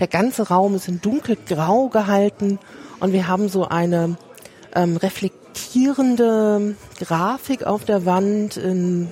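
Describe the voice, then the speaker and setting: A woman at a very slow pace, medium in pitch, with ordinary pitch variation. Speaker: podcast host and museum worker. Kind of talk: casual walking museum tour conversation. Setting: walking through a crowded museum with headset mic.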